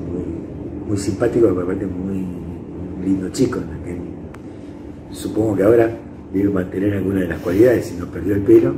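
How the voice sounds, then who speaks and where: A man with a Rioplatense accent, fairly low pitch and fairly even intonation, speaking at a fairly quick pace broken by long, frequent pauses, amid audible room echo and noticeable background noise. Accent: Argentine Rioplatense Spanish. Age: 70s. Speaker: psychologist. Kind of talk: interview testimony. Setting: indoors interview. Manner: halting.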